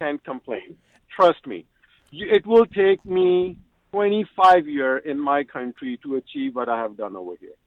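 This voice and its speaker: Talking at a moderate pace with a non-native accent, a man uses a fairly high pitch with very wide pitch swings and big swings in loudness. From Pakistan. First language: not English. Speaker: civil engineer. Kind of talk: radio interview.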